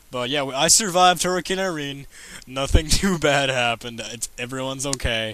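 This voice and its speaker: Noticeable background noise sits under the recording. A man speaks at a fairly high pitch. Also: ordinary pitch variation. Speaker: coding vlogger. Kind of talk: casual commentary. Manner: fast; animated.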